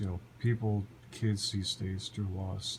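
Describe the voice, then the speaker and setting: Fairly slow and somewhat breathy, a man speaks. His intonation stays fairly even. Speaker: vlogger. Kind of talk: personal vlog monologue. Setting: lying on the floor at home. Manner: halting.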